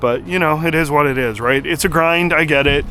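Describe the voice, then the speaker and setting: In a strong Canadian accent, a man speaks at a fairly quick pace with ordinary pitch variation. Music plays in the background. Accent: Canadian, thick. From Canada. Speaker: car YouTuber. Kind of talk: casual vlog talk to camera. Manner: casual, many filler words.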